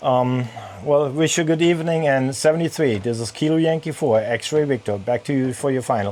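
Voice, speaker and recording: In a German accent, the speaker moves at a fairly quick pace with ordinary pitch variation. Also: man, medium pitch for a man. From Germany. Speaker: amateur radio operator and sailor. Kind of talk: ham radio contact. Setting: radio on a sailboat in a marina.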